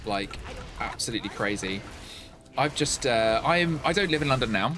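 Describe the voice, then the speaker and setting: Over music in the background, the speaker talks at a moderate pace with lively intonation. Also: man, medium pitch for a man. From Essex, England. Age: 40s. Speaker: live streamer. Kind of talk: casual chat while gaming.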